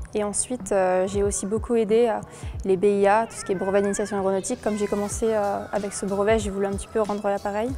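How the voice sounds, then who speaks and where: Over music in the background, a woman with medium pitch speaks very fast in a monotone, flat intonation. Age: 20s. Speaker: pilot student, award winner. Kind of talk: interview testimony.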